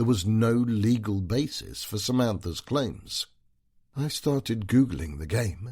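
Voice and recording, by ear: Someone reads aloud in a natural voice with ordinary pitch variation.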